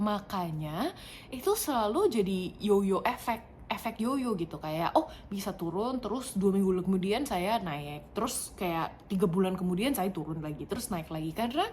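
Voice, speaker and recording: A woman speaks at a moderate pace with a non-native accent and a medium pitch. Her intonation is lively, and there is noticeable background noise. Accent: non-native Indonesian, stiff. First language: not Indonesian; English more fluent (speaking Indonesian). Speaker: vlogger. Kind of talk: casual personal vlog. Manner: halting, many fillers.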